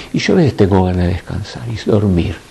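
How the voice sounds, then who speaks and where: Male voice against noticeable background noise. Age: 60s. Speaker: spiritual teacher. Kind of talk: spiritual talk to a group. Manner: animated.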